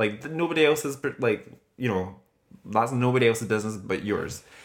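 A man talks at a fairly quick pace in an animated tone. His intonation is lively. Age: 30s. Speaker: podcast host. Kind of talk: casual chat.

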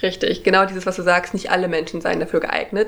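A woman speaks in a medium pitch. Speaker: podcast host. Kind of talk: casual chat explaining philosophy.

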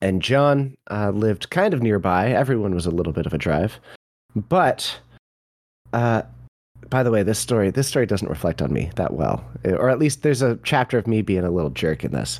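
Speaking at a moderate pace with vocal fry, a man swings his pitch very widely and leaves long, frequent pauses. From rural area, grew up in the woods. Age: 30s. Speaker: content creator and game commentator. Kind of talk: casual chat.

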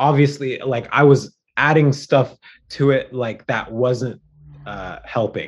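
At a very slow pace, a man talks at a medium pitch with fairly even intonation and big swings in loudness. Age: 30s. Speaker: spiritual podcast guest. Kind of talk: casual chat. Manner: halting, many fillers.

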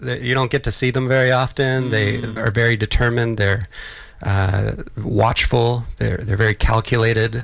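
A man with an American accent uses an ordinary speaking voice, talking at a moderate pace with fairly even intonation. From Texas, Austin. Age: 40s. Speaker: filmmaker. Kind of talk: interview. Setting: radio studio.

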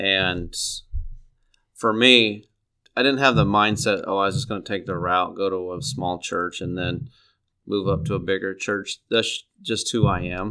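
A man with a Midwestern American accent, fairly low in pitch and bright and sharp in tone, at a fairly slow pace with ordinary pitch variation, on a very clean recording with a silent background. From East Central Illinois, US Midwest. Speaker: middle school Bible teacher, former pastor. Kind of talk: interview. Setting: studio.

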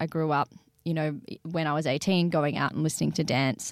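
A woman's fairly low voice with an Australian accent, fairly quick in pace, on a very clean recording with a silent background. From Australia, Sydney. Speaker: singer-songwriter and DJ. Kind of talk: interview.

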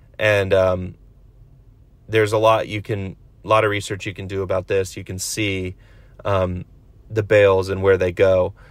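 Fairly low-pitched and monotone with flat intonation, a man speaks with long, frequent pauses in a very clean recording with a silent background. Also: moderate pace. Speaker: podcast host, vintage clothing reseller. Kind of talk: casual solo monologue. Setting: in a car on the way to work.

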